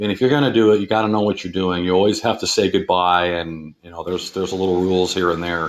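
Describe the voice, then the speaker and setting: At a very fast pace with hardly any pauses, a man speaks in a very deep, low pitch and fairly even intonation. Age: 50s. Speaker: caller sharing paranormal experience. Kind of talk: personal story on call-in show.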